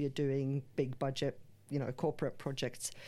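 Against a quiet background, a woman speaks with a very deep, low pitch and a dark, mellow tone. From Finland. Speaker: film producer. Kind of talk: interview.

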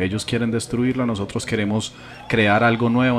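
Fairly quick, monotone speech from a man with a Colombian accent, medium in pitch, flat in intonation, with noticeable background noise. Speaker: podcast host. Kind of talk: casual chat.

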